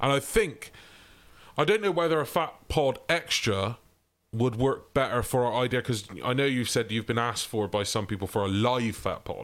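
This man has a plain, everyday voice, speaking at a moderate pace and medium pitch with lively intonation. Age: 30s. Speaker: podcast co-host. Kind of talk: casual chat. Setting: remote recording.

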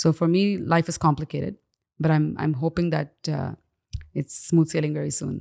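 A woman speaks with a very deep, low pitch and vocal fry. Her pace is moderate and her intonation fairly even. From Dubai, raised as Indian expat, moved to Canada as a teen. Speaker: singer. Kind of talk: interview conversation. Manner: frequent fillers and hesitations.

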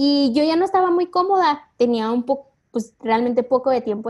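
The woman keeps her speech at a moderate pace. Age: 20s. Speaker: marketing assistant. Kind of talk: interview.

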